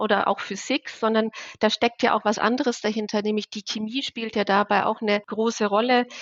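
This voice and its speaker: At a fairly quick pace, a woman talks in a monotone, flat intonation. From Bavaria, Germany. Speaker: chemistry professor. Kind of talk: interview.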